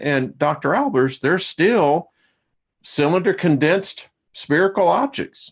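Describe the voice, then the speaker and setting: With a quiet background, a man talks at a fairly slow pace in a normal speaking voice, fairly high in pitch. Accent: American. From US South. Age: 60s. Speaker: talk show host. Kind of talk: casual chat.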